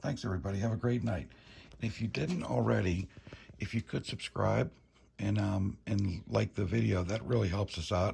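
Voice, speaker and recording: A man whispers at a moderate pace, his voice carrying vocal fry. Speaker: motorcycle vlogger. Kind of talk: casual vlog walkthrough. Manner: whispering; halting.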